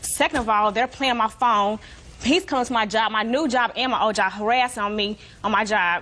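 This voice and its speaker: In an American accent, a woman talks animatedly at a fairly quick pace, her fairly high pitch showing ordinary variation. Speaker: litigant. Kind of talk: courtroom testimony. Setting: TV courtroom. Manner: fast.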